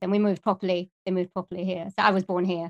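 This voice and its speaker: Speaking in a Welsh accent, a woman holds a medium pitch and a monotone, flat intonation. The sound is dry and close with no echo, and the background is quiet. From Wales. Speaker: musician and voiceover artist. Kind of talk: casual interview.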